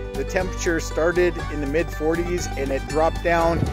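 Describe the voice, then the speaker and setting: Moderate pace over clear music in the background, with dry sound and no echo. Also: man. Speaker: motorcycle vlogger. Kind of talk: casual vlog chat. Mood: cheerful, relaxed. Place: open country. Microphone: phone near.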